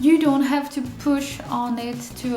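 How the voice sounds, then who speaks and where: Audible room echo and music in the background surround a woman with a non-native accent who speaks with fairly even intonation. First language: not English. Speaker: beauty vlogger. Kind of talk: tutorial. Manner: halting, many fillers.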